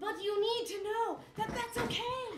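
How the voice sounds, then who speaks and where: Someone puts on a squeaky character voice at an extremely high pitch, speaking at a moderate pace. There is a slight echo and clear background noise. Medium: stage play. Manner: overly earnest, theatrical.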